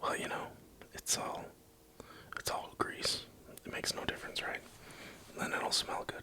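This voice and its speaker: Whispering at a moderate pace with long, frequent pauses, a man speaks over noticeable background noise. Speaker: keyboard hobbyist streamer. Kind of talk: live-stream build tutorial. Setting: at home at night, live stream. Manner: quiet, near-whispered.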